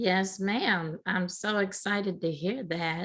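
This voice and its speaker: Here is an unremarkable speaking voice from a woman with a fairly low pitch. She speaks at a fairly slow pace. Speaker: media director, interviewer. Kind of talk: interview questions.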